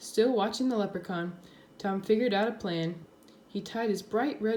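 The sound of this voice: An unforced reading voice carries pitch that varies in an ordinary way.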